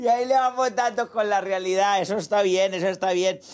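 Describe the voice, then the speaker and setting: A man talks at a fairly slow pace. His pitch is high, and the background is quiet. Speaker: comedian, show host. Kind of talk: casual talk show host. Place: garden.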